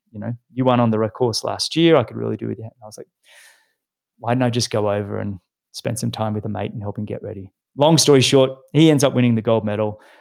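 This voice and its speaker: A man speaks with an Australian accent at a fairly quick pace. The recording is very clean, with a silent background. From Australia, Sydney. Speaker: retired pro triathlete and podcast host. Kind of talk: casual interview chat.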